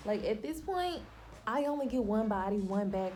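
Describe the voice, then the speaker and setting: A woman with a Southern US accent speaks at a moderate pace with lively intonation, and room echo is audible. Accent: Southern country. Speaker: lifestyle vlogger. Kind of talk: casual chat. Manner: stumbles over words.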